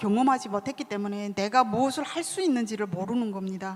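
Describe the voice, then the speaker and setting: A woman speaks with a North Korean accent. Her intonation is lively. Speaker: author. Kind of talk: book talk interview.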